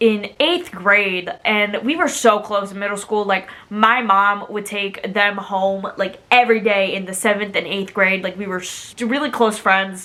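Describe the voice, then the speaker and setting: A woman at medium pitch and a fairly slow pace, over noticeable background noise. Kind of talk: casual storytime talk to camera.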